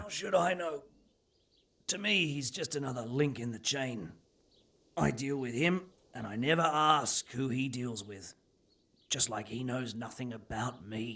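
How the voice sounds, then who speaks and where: Using a put-on character voice, a man speaks raspily at medium pitch with lively intonation. His pace is moderate, with long, frequent pauses. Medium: video game. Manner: blunt, coarse, cynical.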